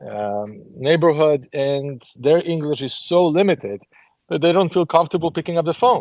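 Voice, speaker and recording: A man with a Polish accent and lively intonation against a quiet background. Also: fairly high pitch for a man, moderate pace. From Poland. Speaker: author, ex-Jehovah's Witness. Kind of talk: group discussion.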